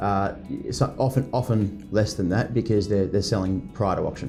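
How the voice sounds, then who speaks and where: Music plays in the background as a man talks at a moderate pace. His pitch is fairly low. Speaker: real estate auctioneer. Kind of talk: interview answer. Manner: conversational, fluent, with hesitations.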